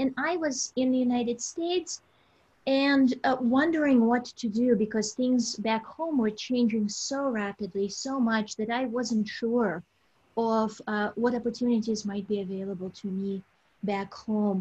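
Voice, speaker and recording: A woman with a Russian accent speaks at a fairly slow pace with a fairly high pitch and ordinary pitch variation. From southern Russia, Caucasus Mountains. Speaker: college alumna. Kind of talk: life story interview. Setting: video call.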